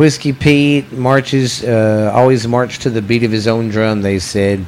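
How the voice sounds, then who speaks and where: Against noticeable background noise, a man with a Southern US accent speaks at medium pitch. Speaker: podcast host. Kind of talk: reading ghost stories aloud.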